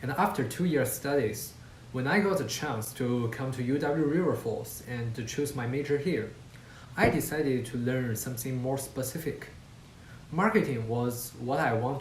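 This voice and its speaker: A man talks at a moderate pace and medium pitch with a Chinese accent. There is audible room echo. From China, Qingdao. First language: Mandarin Chinese. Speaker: university student. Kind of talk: student presentation talk. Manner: occasional hesitations.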